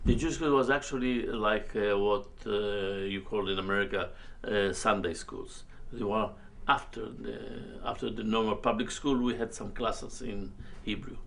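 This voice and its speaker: A man at a moderate pace, with audible room echo. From Libya, Tripoli. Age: 70s. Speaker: Holocaust-era refugee witness. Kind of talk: oral history interview. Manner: halting.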